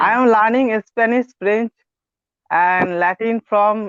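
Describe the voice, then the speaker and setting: Very slow in pace, a man talks with high pitch and ordinary pitch variation. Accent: Bengali. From India, Kolkata. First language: Bengali. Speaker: English learner, researcher. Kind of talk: online English lesson conversation. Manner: halting.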